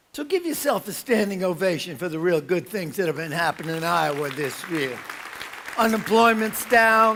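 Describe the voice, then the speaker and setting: Crowd noise fills the background as a man talks in a New York accent. His pitch is high and his intonation lively. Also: moderate pace. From New York, Brooklyn. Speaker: motivational speaker. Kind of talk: conference keynote. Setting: stage with audience. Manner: animated.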